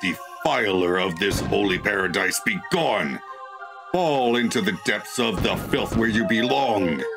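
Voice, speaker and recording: Loud music plays in the background as a man in a put-on character voice speaks at a fairly slow pace and a medium pitch. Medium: game stream. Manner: grandiose, wrathful.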